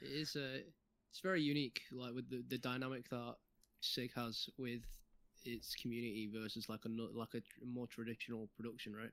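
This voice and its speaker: A man with a Mancunian accent, medium pitch, fairly even intonation and a moderate pace. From Manchester, England. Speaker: game QA tester. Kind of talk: casual chat.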